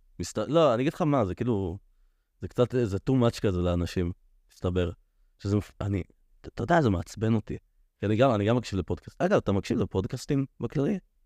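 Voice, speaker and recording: Dry and close with no echo over a quiet background, a man's fairly low voice has a dark, mellow tone, lively intonation and a fairly quick pace, with long, frequent pauses. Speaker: podcast host. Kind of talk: casual chat.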